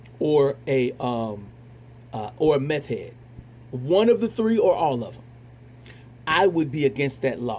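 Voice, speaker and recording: A somewhat breathy man with a fairly high pitch, very wide pitch swings and long, frequent pauses. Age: 40s. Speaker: retired military veteran, show host. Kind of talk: monologue commentary. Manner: halting, many repetitions and fillers.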